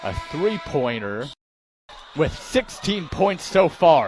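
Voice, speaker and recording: A man shouts at a high pitch. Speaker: sports play-by-play broadcaster. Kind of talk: live sports play-by-play commentary. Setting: arena broadcast.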